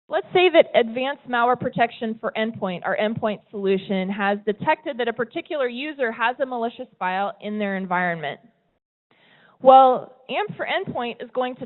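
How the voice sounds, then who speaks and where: With an American accent, a woman talks in a high pitch with lively intonation. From US West Coast, California. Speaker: tech company presenter. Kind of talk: presentation talk. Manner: conversational, some repetitions.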